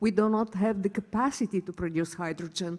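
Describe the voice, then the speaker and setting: A woman with a Bulgarian accent speaks in a dark, mellow tone on a very clean recording with a silent background. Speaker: hydrogen researcher, panelist. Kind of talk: panel discussion.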